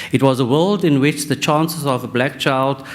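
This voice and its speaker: This man speaks at a fairly quick pace with a non-native accent. Noticeable background noise runs under his voice. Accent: non-native sounding accent, self-noted. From South Africa, Western Cape. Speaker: professor. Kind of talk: conference talk. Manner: halting.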